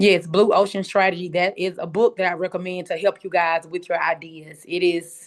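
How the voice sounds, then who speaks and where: Over a quiet background, a woman with a strong Southern US accent speaks in a fairly low, flat monotone at a moderate pace. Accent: strong Southern country. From US South, Memphis, Tennessee. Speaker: pitch competition coach and host. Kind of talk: instructional talk on a video call. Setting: video call. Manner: casual, chatty.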